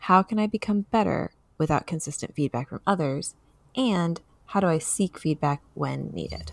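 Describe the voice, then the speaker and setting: With lively intonation and a very deep, low pitch, a woman speaks at a moderate pace in a dry, close sound with no echo. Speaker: podcast host. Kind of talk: casual chat.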